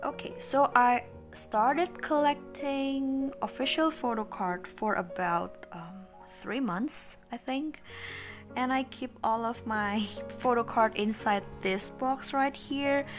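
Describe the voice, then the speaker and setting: A woman with an Indonesian accent speaks at a very slow pace. Clear music plays in the background. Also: fairly high pitch for a woman. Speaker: collector vlogger. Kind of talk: casual talk to camera. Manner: upbeat, excited. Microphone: phone near.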